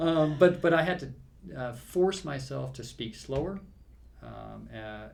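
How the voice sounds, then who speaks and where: The speaker talks at a fairly slow pace, with audible room echo. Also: man. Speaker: safety training instructor. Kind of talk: casual chat. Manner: hesitant, many fillers.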